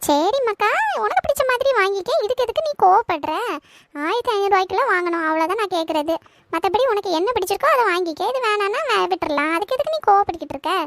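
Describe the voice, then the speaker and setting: A woman's cartoonish character voice, extremely high in pitch with very wide pitch swings, at a fairly quick pace in a dry, close sound with no echo. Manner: blunt, expressive, scolding.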